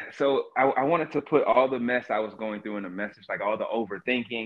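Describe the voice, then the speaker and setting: An American-accented man speaks in an ordinary speaking voice at medium pitch. His pace is fairly quick and his intonation lively. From North Georgia, US. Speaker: author, cannabis industry worker. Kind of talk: interview, casual conversation. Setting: phone or video call from Seattle.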